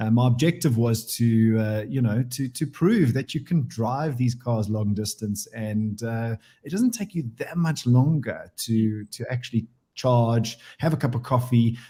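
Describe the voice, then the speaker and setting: In a very clean recording with a silent background, a man speaks at a fairly slow pace in a medium-pitched, dark, mellow voice that is somewhat breathy, with ordinary pitch variation. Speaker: auto industry executive and weekly radio contributor. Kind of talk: radio chat segment.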